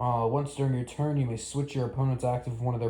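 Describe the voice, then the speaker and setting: A man speaks at a medium pitch with fairly even intonation. His tone is dark and mellow, and somewhat breathy. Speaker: Pokemon card content creator. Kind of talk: casual commentary reacting to card leaks. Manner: fast.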